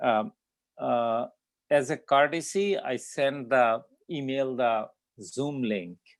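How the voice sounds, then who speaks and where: Very slowly, a man with a fairly high pitch speaks using lively intonation. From immigrant, grew up abroad. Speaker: statistics instructor. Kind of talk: lecture. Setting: video call. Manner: halting, many fillers.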